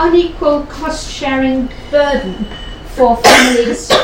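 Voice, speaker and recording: Noticeable background noise under a woman's high voice. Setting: room with audience, one microphone. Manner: loud.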